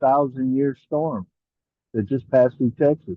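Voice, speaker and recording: Medium in pitch, a man's voice carries fairly even intonation. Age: 60s. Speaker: author and disaster relief entrepreneur. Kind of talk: interview. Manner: halting, many fillers and repeats.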